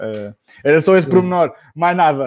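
A man at a moderate pace with ordinary pitch variation, a plain, everyday voice. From Portugal, Bombarral (Oeste region). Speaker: pharmacist. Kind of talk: casual chat.

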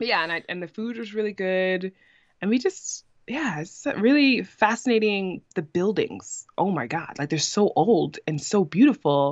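A woman's medium-pitched voice with a New York accent and very wide pitch swings, at a moderate pace over a quiet background. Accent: New York American. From New York City, Brooklyn. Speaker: podcaster and YouTuber. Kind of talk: casual interview chat.

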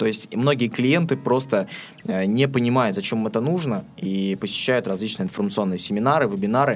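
A man talks at a fairly quick pace with lively intonation. Noticeable background noise runs underneath. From Astrakhan, southern Russia. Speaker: web development and promotion specialist. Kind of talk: interview. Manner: hesitant, frequent filler sounds.

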